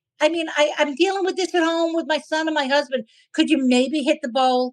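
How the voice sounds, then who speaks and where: A woman with a Brooklyn accent, high in pitch, at a fairly quick pace with fairly even intonation. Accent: New York (Brooklyn). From New York City (Brooklyn). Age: 60s. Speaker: comedian. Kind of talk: interview. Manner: halting, many restarts.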